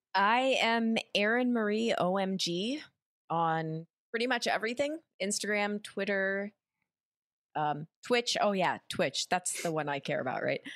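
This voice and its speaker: An unremarkable speaking voice with lively intonation at a fairly slow pace, in a dry, close sound with no echo and a very clean recording over a silent background. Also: woman, medium pitch for a woman. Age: 30s. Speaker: actress and streamer. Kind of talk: casual chat.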